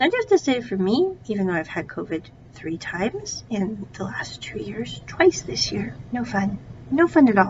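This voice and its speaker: Amid noticeable background noise, a woman with an American accent speaks at a moderate pace. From United States. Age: 30s. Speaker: podcast host and English teacher. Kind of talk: casual solo podcast monologue. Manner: conversational, animated.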